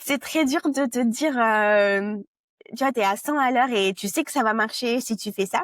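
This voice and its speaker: On a very clean recording with a silent background and a dry, close sound with no echo, a woman talks at a fairly slow pace and fairly high pitch. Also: ordinary pitch variation. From France. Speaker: product marketing director. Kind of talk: interview. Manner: halting, many hesitations.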